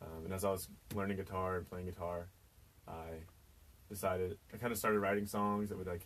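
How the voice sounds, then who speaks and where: A man's very deep, low voice at a very fast pace, monotone and flat. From Kansas, US. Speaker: singer-songwriter. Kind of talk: radio interview. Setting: radio studio.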